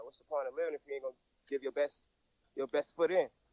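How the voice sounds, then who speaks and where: A man with an American accent talks at a very fast pace in a flat monotone, recorded dry and close with no echo. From US South, Georgia, Tybee Island near Savannah. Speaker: rapper. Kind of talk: casual interview.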